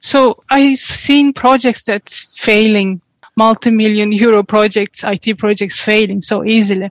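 A woman speaks at a moderate pace with a Turkish accent, her pitch fairly high and her intonation fairly even. The sound is dry and close, with no echo. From Turkey. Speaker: tech company co-founder. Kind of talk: interview.

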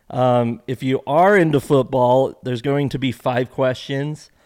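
The recording is very clean, with a silent background. A man with a normal speaking voice speaks at a medium pitch with fairly even intonation. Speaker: podcast host; former marketing executive. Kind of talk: casual chat.

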